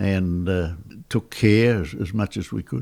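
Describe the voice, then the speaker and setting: Very deep and low, a man speaks in an Australian accent. His pitch variation is ordinary. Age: 90s. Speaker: war veteran. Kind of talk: interview answer.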